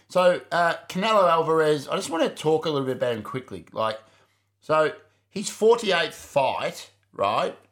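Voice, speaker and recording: Animated and with lively intonation, a man with an Australian accent and a high pitch talks at a moderate pace on a very clean recording with a silent background. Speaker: podcast co-host. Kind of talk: casual chat.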